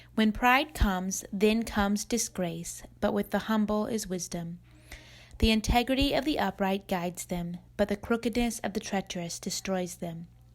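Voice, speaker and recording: The recording features a plain, everyday voice. Its pitch moves up and down a typical amount. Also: woman, medium pitch for a woman, moderate pace, very clean recording, silent background. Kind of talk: scripture reading.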